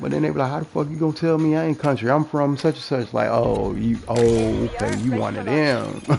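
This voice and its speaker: A man speaks in an animated tone at a fairly quick pace with hardly any pauses, over noticeable background noise. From US South, New Orleans. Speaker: gaming streamer. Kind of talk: casual monologue while gaming.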